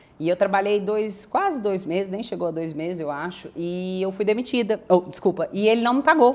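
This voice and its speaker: A woman with a medium-pitched voice and ordinary pitch variation talks at a moderate pace with hardly any pauses. Noticeable background noise runs underneath. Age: 30s. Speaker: real estate agency partner. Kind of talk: podcast interview.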